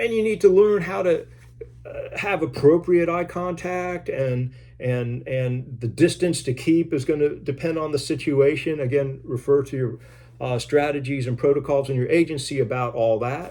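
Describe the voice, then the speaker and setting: On a very clean recording with a silent background, a man has a dark, mellow tone and a fairly high pitch. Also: ordinary pitch variation, moderate pace. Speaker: criminal justice professor. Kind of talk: lecture. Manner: loud; hesitant, many fillers and repeats.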